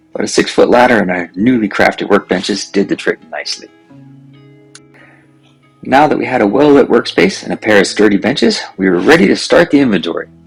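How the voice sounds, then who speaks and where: Music sounds underneath the recording. A man delivers his words at a fairly quick pace. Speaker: amateur aircraft builder. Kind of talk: video narration of a build project.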